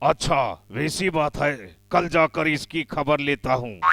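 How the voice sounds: A man performs a cartoonish character voice at a fairly high pitch and a fairly slow pace. Sound effects play in the background.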